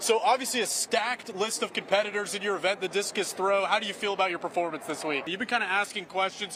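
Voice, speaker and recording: Raised and projected, a man's high-pitched voice races at a very fast pace with hardly any pauses in an energetic, upbeat tone over noticeable background noise. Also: ordinary pitch variation. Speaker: sports anchor and reporter. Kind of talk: on-location sports reporter stand-up.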